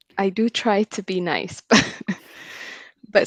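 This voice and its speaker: Against a quiet background, the voice is delivered in monotone, flat intonation with dry, close sound and no echo. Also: woman. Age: 30s. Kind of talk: casual chat.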